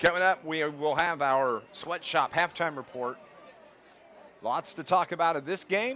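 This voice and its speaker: A man speaks in a normal speaking voice with a fairly high pitch. His pace is fairly slow and his pitch variation ordinary. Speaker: play-by-play radio announcer. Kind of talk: live sports commentary.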